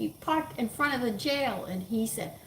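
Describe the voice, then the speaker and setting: A woman with an American accent at a moderate pace, against noticeable background noise. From Texas. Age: 70s. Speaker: home cooking channel host. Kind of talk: casual cooking chat with opinions. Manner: opinionated, emphatic.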